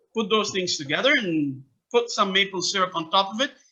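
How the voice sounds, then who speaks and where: This loud man speaks at a high pitch. His pitch swings very widely. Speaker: soccer academy founder and coach. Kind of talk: interview. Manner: animated.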